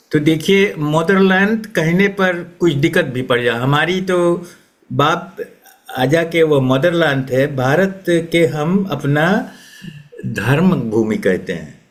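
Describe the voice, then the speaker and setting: A man's fairly high voice in audible room echo. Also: lively intonation. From Suriname. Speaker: retired educator and writer. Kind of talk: interview. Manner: halting.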